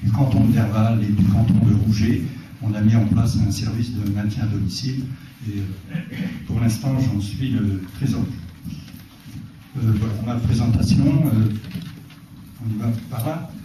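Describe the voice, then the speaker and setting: A man speaks at a fairly slow pace with fairly even intonation and long, frequent pauses. Noticeable background noise and audible room echo are present. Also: fairly low pitch for a man. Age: 60s. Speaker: retired farmer, local candidate. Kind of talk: public self-introduction at a meeting. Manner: hesitant, many filler words.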